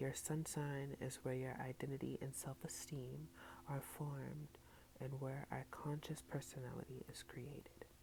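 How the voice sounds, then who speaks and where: Soft-spoken, the speaker goes at a fairly slow pace. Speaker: ASMR content creator. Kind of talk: ASMR soft-spoken book reading with tapping and trigger words.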